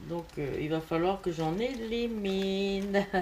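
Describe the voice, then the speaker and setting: A woman's pitch varies in an ordinary way as noticeable background noise runs beneath her voice. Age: 60s. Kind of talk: casual talk to camera.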